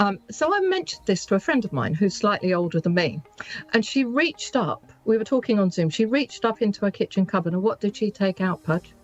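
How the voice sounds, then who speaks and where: The speech moves at a fairly quick pace with very even loudness. The sound is dry and close with no echo, though there is noticeable background noise. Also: woman, medium pitch for a woman, lively intonation. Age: 60s. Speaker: business owner. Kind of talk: radio interview.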